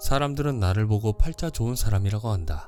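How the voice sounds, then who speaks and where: Fairly quick speech with ordinary pitch variation over music in the background. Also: man. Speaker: audiobook narrator. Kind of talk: audiobook reading of a finance book.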